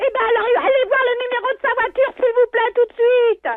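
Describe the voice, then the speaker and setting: A put-on character voice at an extremely high pitch. It moves at a moderate pace. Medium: game stream. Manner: gruff, crude.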